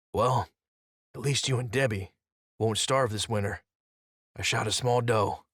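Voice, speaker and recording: A man puts on a raspy character voice at a medium pitch, speaking quietly. His pace is moderate, broken by long, frequent pauses. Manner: hushed and conciliatory.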